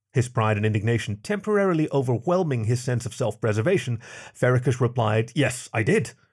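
On a very clean recording with a silent background, a man at medium pitch speaks in a dramatic tone, somewhat breathy, at a fairly quick pace with lively intonation. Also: long, frequent pauses. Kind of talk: sci-fi audiobook narration.

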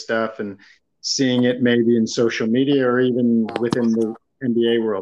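The speaker is a man with a medium pitch. He goes at a moderate pace. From Toronto area, Canada. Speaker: podcast host. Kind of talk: casual sports podcast chat.

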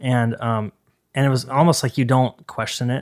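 A man talks at a very fast pace with fairly even intonation on a very clean recording with a silent background. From Idaho, Boise. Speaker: record label owner and bassist. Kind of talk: casual chat. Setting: podcast interview.

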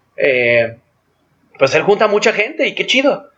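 A man talks at a moderate pace in a fairly high pitch. He has a plain, everyday voice. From Mexico, Guadalajara (Jalisco). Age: 30s. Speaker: outdoor sports and cycling event organizer. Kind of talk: casual interview.

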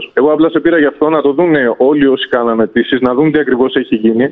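A man talks very fast in a fairly high voice, his pitch varying in an ordinary way. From Greece, Evia. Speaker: caller, moped delivery worker trained as radiographer. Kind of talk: phone-in complaint.

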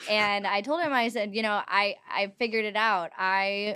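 A woman with an American accent and a plain, everyday voice, medium in pitch with fairly even intonation, on a very clean recording with a silent background. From Los Angeles, US. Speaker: writer and entrepreneur. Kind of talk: casual interview chat.

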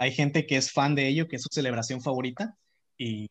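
Over a quiet background, a man speaks at a very fast pace and sounds somewhat breathy. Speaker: architecture student. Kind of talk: casual chat.

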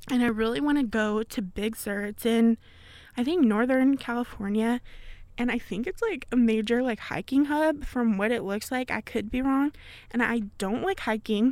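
A woman with an ordinary speaking voice talks at a moderate pace, with fairly high pitch and ordinary pitch variation. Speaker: college radio host and podcaster. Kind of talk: casual solo podcast chat. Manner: chatty, laughs often, casual.

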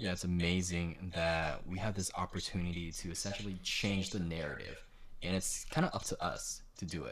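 A man at a moderate pace, with audible room echo. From Southern California, Vietnamese-American community. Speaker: firefighter and actor, podcast co-host. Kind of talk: casual chat.

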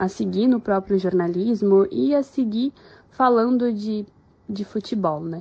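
Speaking at a very slow pace, a woman uses a fairly high, somewhat breathy voice with lively intonation. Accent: southern Brazilian. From Rio Grande do Sul, Brazil. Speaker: journalist. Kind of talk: recorded testimony.

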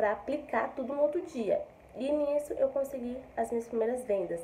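A woman speaks at a moderate pace. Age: 20s. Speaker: affiliate marketer. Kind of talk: testimony. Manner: casual, filler-heavy.

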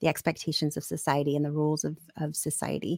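Vocal fry comes through at a fairly quick pace in a very clean recording with a silent background and a dry, close sound with no echo. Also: woman. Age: 40s. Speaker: podcast host, divorce coach. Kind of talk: interview.

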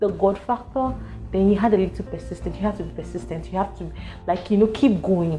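Music plays behind a woman who speaks fairly quickly. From Nigeria, Lagos. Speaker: podcast host telling own story. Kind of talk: personal storytelling monologue.

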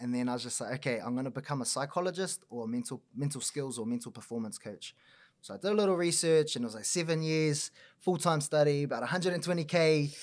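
A fairly high-pitched man with a New Zealand accent, very fast and lively in intonation. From New Zealand, Auckland North Shore. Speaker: mental performance coach. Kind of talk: casual chat.

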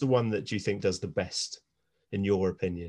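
The man's pace is moderate and his pitch fairly low, in an ordinary speaking voice. The background is quiet. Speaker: podcast host. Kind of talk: casual chat.

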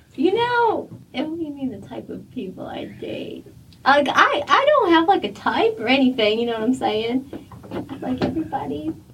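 Amid noticeable background noise, the speaker talks at a moderate pace with big swings in loudness. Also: woman.

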